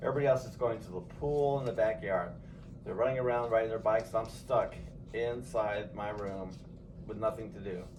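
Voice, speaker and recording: A man with an American accent at a medium pitch, fairly quick pace, ordinary pitch variation, big swings in loudness and audible room echo. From Los Angeles, San Fernando Valley. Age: 60s. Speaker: grandfather interviewed by family. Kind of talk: casual family interview.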